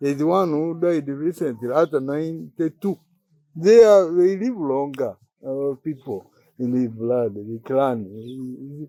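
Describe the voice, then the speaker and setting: A man's fairly high, dark and mellow voice, very slow in pace, with lively intonation. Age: 80s+. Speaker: retired teacher and school principal. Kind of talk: casual chat.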